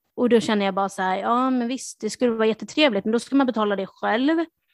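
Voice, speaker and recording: Recorded dry and close with no echo, a woman has a plain, everyday voice, a fairly high pitch and ordinary pitch variation. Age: 30s. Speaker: podcast host. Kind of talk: casual chat.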